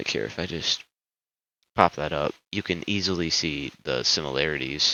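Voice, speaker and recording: Very deep and low in pitch, a man speaks with vocal fry at a moderate pace and with ordinary pitch variation. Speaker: amateur YouTuber giving opinions. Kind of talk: casual opinion monologue. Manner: halting, many fillers.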